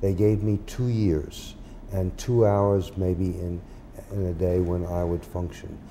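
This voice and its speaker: A man speaks at a very slow pace in a very deep, low pitch and a dark, mellow tone. His intonation is fairly even, with audible room echo. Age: 80s+. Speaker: time banking founder, former lawyer. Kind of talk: podcast interview.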